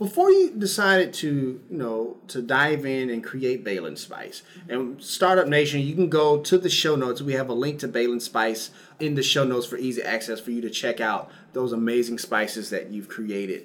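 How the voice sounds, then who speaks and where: A man's medium-pitched, normal speaking voice at a moderate pace, with lively intonation. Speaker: podcast host. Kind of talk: podcast interview, sponsor read.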